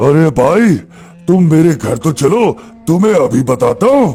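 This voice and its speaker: Over clear music in the background, a man puts on a cartoonish character voice with a fairly high pitch, very wide pitch swings, very even loudness, and a fairly slow pace. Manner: sly, scheming.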